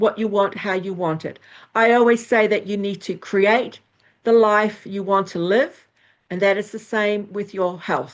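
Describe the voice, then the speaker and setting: A woman's medium-pitched voice at a moderate pace, with fairly even intonation and a plain, everyday voice. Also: quiet background. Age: 60s. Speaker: astrologer and former nurse. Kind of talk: interview.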